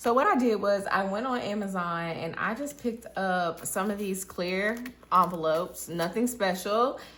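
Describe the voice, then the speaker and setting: With an American accent and a bright, sharp tone, a woman speaks at a fairly slow pace with ordinary pitch variation amid audible room echo. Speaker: budgeting vlogger. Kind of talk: casual vlog tutorial.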